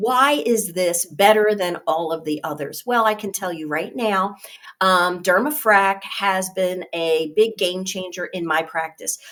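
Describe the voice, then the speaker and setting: A woman with an ordinary speaking voice talks at medium pitch and a fairly slow pace. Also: ordinary pitch variation. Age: 60s. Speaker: nurse and skincare trainer. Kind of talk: training webinar. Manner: casual, with frequent fillers.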